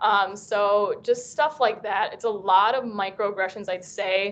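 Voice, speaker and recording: Here a woman speaks at a medium pitch. Her pace is fairly slow. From US, Vietnamese American family. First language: Vietnamese. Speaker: university student panelist. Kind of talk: panel discussion.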